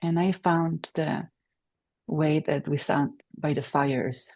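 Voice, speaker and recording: A woman with a Polish accent and ordinary pitch variation. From Poland, Silesia. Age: 40s. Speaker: PhD candidate and meditation teacher. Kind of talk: academic presentation. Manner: halting, many fillers.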